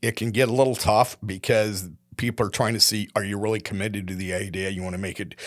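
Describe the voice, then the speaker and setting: On a very clean recording with a silent background, a man with a Midwestern US accent speaks in a fairly low voice. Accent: US Midwest. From Iowa. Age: 70s. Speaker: retired company executive. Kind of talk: interview conversation. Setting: studio.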